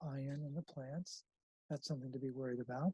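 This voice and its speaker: A man's fairly high voice, dark and mellow in tone, somewhat breathy, with a flat monotone delivery, on a very clean recording with a silent background and a dry, close sound free of echo. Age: 60s. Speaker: health protocol founder, mineral health advocate. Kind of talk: interview. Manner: repetitive, halting restarts.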